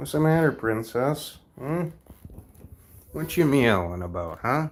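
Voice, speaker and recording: A man with an American accent talks at a fairly slow pace with very wide pitch swings. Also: medium pitch for a man. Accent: thick Minnesotan accent (per viewers). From Minnesota. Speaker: live streamer. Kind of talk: casual live stream chat.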